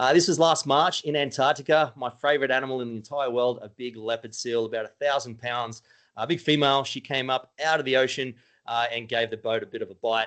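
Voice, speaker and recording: The man talks fairly quickly in an Australian accent. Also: medium pitch for a man, fairly even intonation, quiet background. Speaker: cruise company sales director. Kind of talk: webinar sales presentation. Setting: online webinar. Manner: casual, hesitant with fillers.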